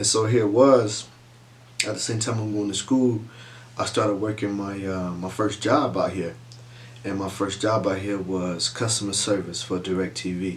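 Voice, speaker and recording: With a Southern US accent, a man speaks at a fairly low pitch with ordinary pitch variation amid audible room echo. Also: moderate pace. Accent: Southern US, country twang. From US South, south Georgia. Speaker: vlogger. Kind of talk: casual chat. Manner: soft-spoken.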